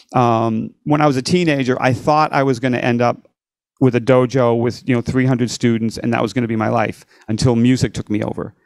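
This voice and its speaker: An unremarkable speaking voice from a man, medium in pitch, fairly quick, with fairly even intonation. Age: 60s. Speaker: rock and blues guitarist. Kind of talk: podcast interview.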